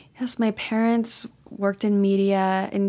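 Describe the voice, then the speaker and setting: A woman with an ordinary speaking voice and an American accent talks at medium pitch with fairly even intonation. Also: very clean recording, silent background. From Texas. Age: 20s. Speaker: tech startup founder and CEO. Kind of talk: interview.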